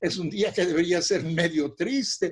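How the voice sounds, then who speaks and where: A man speaks with a high pitch and lively intonation. The background is quiet. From born in Europe, raised in the Americas. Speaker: rabbi. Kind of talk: religious teaching talk. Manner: conversational. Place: home room. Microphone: phone near.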